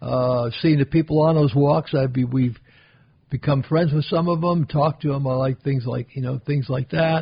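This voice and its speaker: Somewhat breathy, the voice carries an American accent. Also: man. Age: 80s+. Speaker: retired real estate veteran. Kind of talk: casual interview. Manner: halting, with frequent repetitions.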